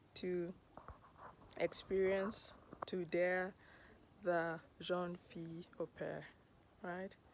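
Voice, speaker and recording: A woman with a Kenyan accent, fairly low in pitch, with fairly even intonation. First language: Luo. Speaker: podcast host. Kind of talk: personal storytelling monologue.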